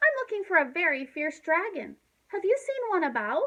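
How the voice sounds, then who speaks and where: In a put-on character voice, a woman talks at a moderate pace, squeaky and extremely high-pitched, with very wide pitch swings. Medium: read story. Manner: polite, earnest.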